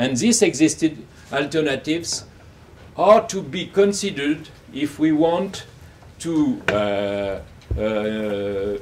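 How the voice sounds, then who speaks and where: Speaking very slowly with long, frequent pauses, a man with a French accent uses a fairly high pitch and very wide pitch swings over noticeable background noise. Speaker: academic, book coeditor. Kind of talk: academic talk. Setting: university event with audience. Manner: halting, many fillers.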